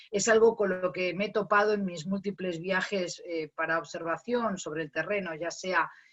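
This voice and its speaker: With a Castilian accent, the speaker keeps a moderate pace and fairly even intonation. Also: woman, medium pitch for a woman. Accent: Castilian Spanish, still noticeable. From Spain. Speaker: academic, migration researcher. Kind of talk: panel discussion. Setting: video call.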